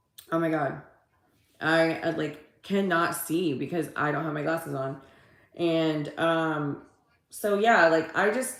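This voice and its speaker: In an animated tone, a woman with an American accent speaks at a fairly low pitch and fairly slow pace, with audible room echo. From Texas. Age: 40s. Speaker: livestreamer and social media coach. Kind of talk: casual livestream chat.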